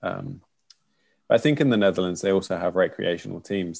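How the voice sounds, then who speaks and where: On a very clean recording with a silent background, a man with a slight London accent talks at a fairly quick pace in a very deep, low voice with ordinary pitch variation. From London, England. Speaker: korfball player and coach. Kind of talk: casual interview chat.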